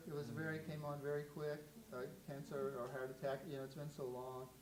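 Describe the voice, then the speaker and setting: Audible room echo surrounds the recording. A man talks at a fairly quick pace. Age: 70s. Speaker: photographer. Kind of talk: artist talk with audience Q&A. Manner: halting.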